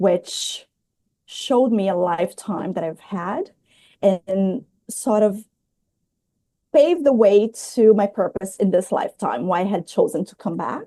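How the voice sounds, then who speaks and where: In a Portuguese accent, a woman with a dark, mellow tone speaks at a fairly slow pace with long, frequent pauses. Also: medium pitch for a woman, lively intonation, big swings in loudness. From Brazil. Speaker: spiritual healer. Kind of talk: interview.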